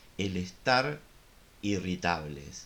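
A man with a Rioplatense accent, fairly low in pitch, bright and sharp in tone, with lively intonation at a very slow pace. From Río de la Plata region. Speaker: psychologist. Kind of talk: casual chat.

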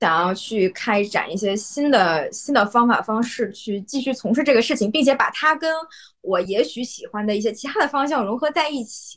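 Her voice is a plain, everyday voice, a woman's with a fairly high pitch and lively intonation at a moderate pace. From Yanbian, Jilin, Northeast China. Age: young. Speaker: Chinese teacher. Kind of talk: casual chat.

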